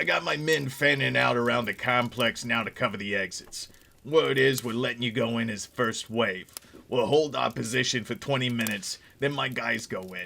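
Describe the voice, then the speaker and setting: A man puts on a character voice, gruff and raspy. He keeps to medium pitch and a moderate pace. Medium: read story. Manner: barking, curt, commanding.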